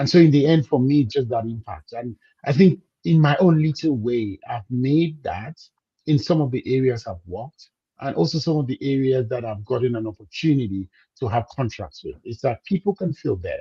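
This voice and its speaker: Somewhat breathy, a man speaks at medium pitch in a dark, mellow tone. His intonation is lively. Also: moderate pace, dry, close sound with no echo. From Cameroon. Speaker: business coach. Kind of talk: interview.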